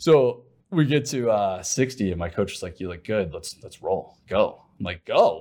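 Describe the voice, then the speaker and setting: With an American accent and a plain, everyday voice, a man speaks at a moderate pace and medium pitch, his intonation lively and his loudness swinging widely, in a very clean recording with a silent background. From Ohio. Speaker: sales executive and ultra-runner. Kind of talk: interview conversation.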